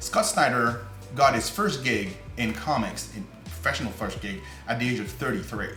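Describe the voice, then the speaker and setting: A man with a non-native accent talks at a moderate pace with music in the background. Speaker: comic book creator. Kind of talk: casual talk to camera.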